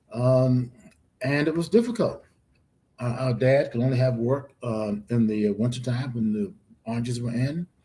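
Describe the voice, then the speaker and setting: With an American accent, a man speaks at a moderate pace in a dark, mellow, somewhat breathy tone, his medium pitch showing ordinary variation. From US South, Florida (DeLand, Volusia County). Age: 80s+. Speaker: professor. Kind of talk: interview. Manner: halting.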